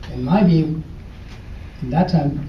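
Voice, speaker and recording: Moderately paced male speech, with noticeable background noise and audible echo from the room. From Ecuador. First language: Spanish. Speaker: former student speaker. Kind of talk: speech to an audience. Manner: halting.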